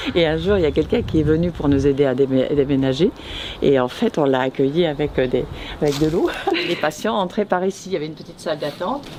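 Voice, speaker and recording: A woman's very deep, low voice at a very fast pace, with noticeable background noise. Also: ordinary pitch variation. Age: 70s. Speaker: grandmother revisiting former home. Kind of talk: casual chat. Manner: halting.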